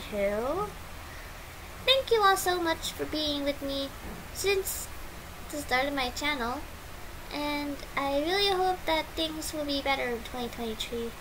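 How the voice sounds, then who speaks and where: A woman with a high voice talks very slowly, with long, frequent pauses and lively intonation. Noticeable background noise and audible room echo fill the recording. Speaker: YouTuber. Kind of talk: unscripted vlog monologue. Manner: halting.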